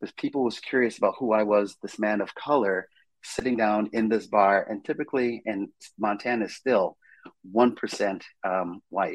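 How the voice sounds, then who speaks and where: With an American accent, a man talks at a moderate pace in a fairly low pitch with fairly even intonation. He has an unremarkable speaking voice. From Brooklyn, New York. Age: 50s. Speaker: real estate broker and Marine veteran. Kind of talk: interview.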